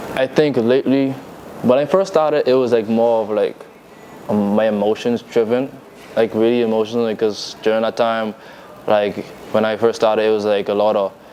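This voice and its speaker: The speech runs at a fairly quick pace with ordinary pitch variation, in a Bahamian accent. Long, frequent pauses break it up, and there is noticeable background noise. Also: man, medium pitch for a man. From Bahamas. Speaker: rapper and fashion designer. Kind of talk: interview. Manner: casual, hesitant with many fillers.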